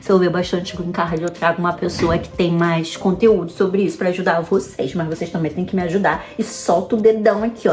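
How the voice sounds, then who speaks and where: Over music in the background, a woman talks in an animated tone with a Rio de Janeiro accent. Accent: Carioca Brazilian Portuguese. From Brazil, Rio de Janeiro. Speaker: vlogger. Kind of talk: casual advice vlog. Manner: fast.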